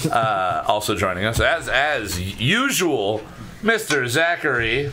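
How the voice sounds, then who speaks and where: Over music in the background and with audible room echo, a man speaks very slowly at a medium pitch, his voice making very wide pitch swings. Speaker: podcast host. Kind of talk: casual chat. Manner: animated.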